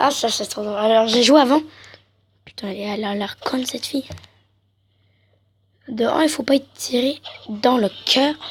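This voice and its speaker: Long, frequent pauses break up this woman's speech. Her pitch is high, with ordinary variation. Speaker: gaming youtuber. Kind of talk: gameplay commentary.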